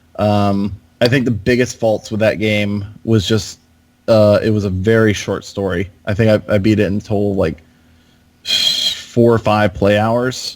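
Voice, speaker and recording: A man with an American accent speaks in a fairly low voice, his intonation flat and monotone. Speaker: video game podcast co-host. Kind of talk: casual chat.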